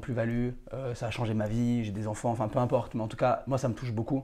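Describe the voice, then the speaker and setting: A man talks at a very fast pace in a monotone, flat delivery. His tone is dark and mellow, with a quiet background. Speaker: real estate dealer and podcast host. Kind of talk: casual interview chat.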